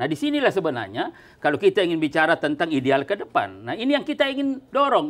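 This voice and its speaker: A man at a fairly quick pace with very wide pitch swings. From South Sulawesi, Indonesia. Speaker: politician. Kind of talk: talk show interview. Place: office. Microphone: lapel.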